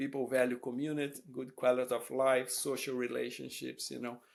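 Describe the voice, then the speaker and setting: Talking at a fairly quick pace, a man with a Brazilian Portuguese accent keeps a medium pitch and monotone, flat intonation. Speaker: professor. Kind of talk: interview. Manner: hesitant, many fillers.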